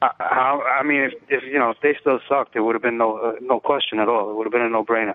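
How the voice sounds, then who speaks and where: A man's medium-pitched voice at a very fast pace, with fairly even intonation and hardly any pauses. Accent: New York. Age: 30s. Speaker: fantasy sports blogger and firefighter. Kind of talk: casual chat.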